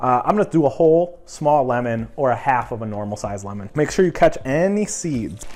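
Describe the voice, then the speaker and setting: A man talks at a fairly quick pace with an upbeat tone and lively intonation over noticeable background noise. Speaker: cooking youtuber. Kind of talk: cooking tutorial. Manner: fast; casual, upbeat.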